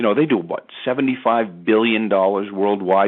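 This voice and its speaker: A man talks at a fairly quick pace. His pitch is fairly low, with ordinary pitch variation. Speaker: network marketing presenter. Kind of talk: sales pitch. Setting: conference call. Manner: fast; animated.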